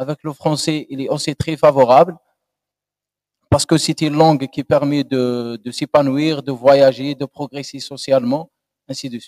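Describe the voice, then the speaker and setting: In an Algerian accent, the speaker talks at a moderate pace with monotone, flat intonation, and the sound is dry and close with no echo. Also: man. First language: Algerian Arabic (speaking French). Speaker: doctoral candidate. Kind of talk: thesis defense answer. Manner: halting.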